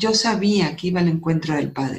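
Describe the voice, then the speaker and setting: Speaking at a medium pitch, a woman sounds somewhat breathy and varies her pitch in an ordinary way. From northern Mexico, Coahuila. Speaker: architect and author. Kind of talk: testimony.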